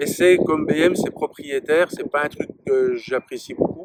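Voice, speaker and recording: The recording is dry and close with no echo, though background noise is noticeable. A man speaks at a moderate pace. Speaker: motorcycle reviewer. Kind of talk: product review. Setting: outdoors. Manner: loud.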